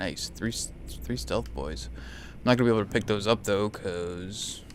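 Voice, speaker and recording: With a very deep, low pitch, vocal fry and very wide pitch swings, a man talks at a moderate pace. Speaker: gaming video creator. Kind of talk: gameplay commentary. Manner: soft-spoken in spots; starts loud then lowers volume.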